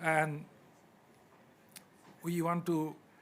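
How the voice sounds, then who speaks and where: In a Bengali accent, a man talks with a high-pitched voice. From Bangladesh. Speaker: academic. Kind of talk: panel discussion. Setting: conference side event.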